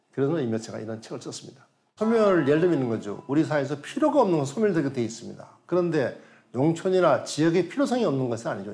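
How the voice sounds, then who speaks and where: Very fast speech with vocal fry and very wide pitch swings. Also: man. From South Korea. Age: 70s. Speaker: professor emeritus, rural economist. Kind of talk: lecture and panel discussion. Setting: studio. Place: studio. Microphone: lapel.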